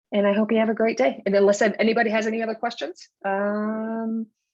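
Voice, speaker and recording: A woman is speaking with a fairly high pitch. Her pitch variation is ordinary. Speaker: mortgage broker. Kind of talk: webinar presentation. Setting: online webinar. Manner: fast.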